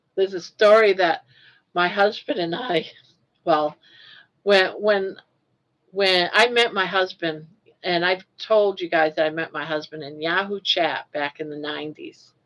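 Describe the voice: A woman with a Maine accent speaks at a fairly slow pace in a medium pitch with ordinary pitch variation. She leaves long, frequent pauses. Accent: Maine, dropped R sounds, New England.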